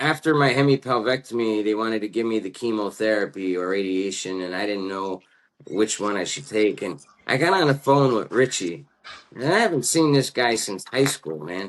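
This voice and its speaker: Lively intonation marks this man's speech at a medium pitch. He moves at a moderate pace. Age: 40s. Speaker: podcast host. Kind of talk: casual chat. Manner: animated.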